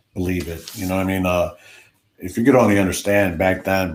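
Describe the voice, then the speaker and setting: A man with an American accent and a very deep, low voice talks at a fairly quick pace. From Chicago, US Midwest. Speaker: DJ and live stream host. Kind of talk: casual live stream chat. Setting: live stream.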